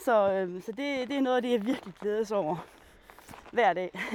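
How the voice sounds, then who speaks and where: A woman speaks at a fairly slow pace. Her fairly high pitch shows ordinary variation. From Denmark, Djursland (Mols area). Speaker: biologist and nature guide. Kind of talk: guided nature walk. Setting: outdoors.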